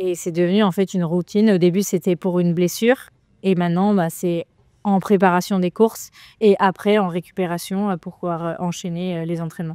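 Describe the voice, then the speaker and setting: In a very clean, dry, close recording with a silent background and no echo, a woman speaks at a fairly quick pace in a medium pitch, her dark, mellow tone held to a monotone, flat intonation. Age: 20s. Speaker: trail runner and lawyer. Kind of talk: interview. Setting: cryotherapy centre. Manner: hesitant, many fillers.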